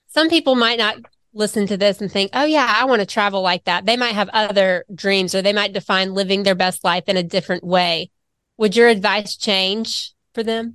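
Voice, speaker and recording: In a Southern US accent, a woman speaks at a moderate pace with a medium pitch and ordinary pitch variation, the sound dry and close with no echo against a quiet background. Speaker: financial advisor. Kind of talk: casual chat. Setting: studio.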